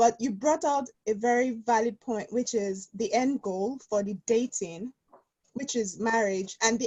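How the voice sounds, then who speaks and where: Somewhat breathy, the voice shows ordinary pitch variation. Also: woman. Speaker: audience member asking a question. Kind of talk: question from audience. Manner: quiet. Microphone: too quiet.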